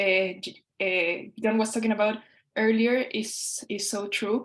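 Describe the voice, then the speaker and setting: A woman speaks with a Spanish accent in a monotone, flat intonation. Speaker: constitutional council member. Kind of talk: panel discussion. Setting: video call.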